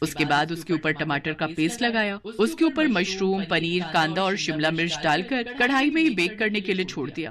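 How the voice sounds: At a moderate pace and with few pauses, the speaker uses lively intonation and a fairly bright tone. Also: woman, fairly low pitch for a woman.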